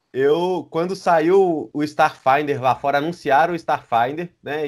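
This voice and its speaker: A man with ordinary pitch variation over a quiet background. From Brazil. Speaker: RPG translator; guest. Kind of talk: casual chat. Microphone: video call.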